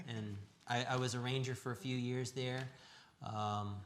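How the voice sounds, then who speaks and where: A man speaks with an American accent and fairly even intonation. Audible echo from the room can be heard. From US Southwest, Tucson, Arizona. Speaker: church member sharing testimony. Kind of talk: testimony. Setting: live church broadcast. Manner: halting.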